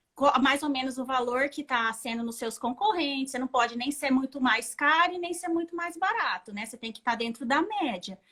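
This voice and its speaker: A woman speaks in a raised, projected voice at a moderate pace, with hardly any pauses. Her high pitch carries lively intonation and big swings in loudness. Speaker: dressmaker and bridal atelier owner. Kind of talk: interview, teaching tips.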